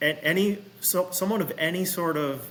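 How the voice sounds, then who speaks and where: There is noticeable noise in the background as a man talks. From Massachusetts, US. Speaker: golf professional and vintage equipment business owner. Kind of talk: casual chat.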